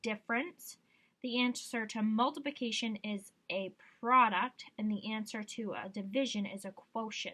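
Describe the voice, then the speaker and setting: Her tone bright and sharp, a woman speaks at a fairly high pitch with fairly even intonation. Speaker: schoolteacher. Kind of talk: tutorial. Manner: casual.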